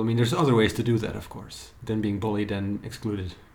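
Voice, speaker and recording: Man with audible room echo. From Belgium. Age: 30s. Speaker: writer. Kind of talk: casual chat.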